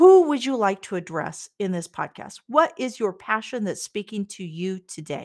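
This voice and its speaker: With a Midwestern American accent, a woman speaks at a medium pitch with very wide pitch swings, big swings in loudness, and hardly any pauses. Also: moderate pace. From US Midwest, Kansas. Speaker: podcast host, real estate agent. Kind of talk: interview.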